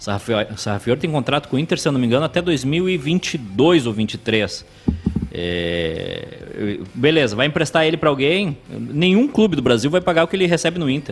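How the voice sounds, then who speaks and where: Over noticeable background noise, a man with a southern Brazilian accent speaks at a moderate pace in a fairly high voice with very wide pitch swings. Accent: gaúcho Brazilian Portuguese. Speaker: sports commentator. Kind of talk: live sports talk show.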